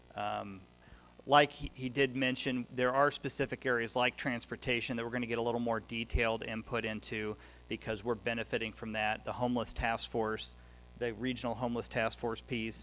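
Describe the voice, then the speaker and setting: Over music in the background, a man with a medium pitch talks at a fairly quick pace in a monotone, flat intonation. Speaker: mayor chairing commission meeting. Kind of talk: public meeting.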